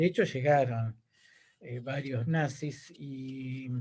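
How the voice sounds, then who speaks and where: The man's voice is somewhat breathy. His pitch is medium. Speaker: teacher and political activist. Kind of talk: lecture Q&A. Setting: video call.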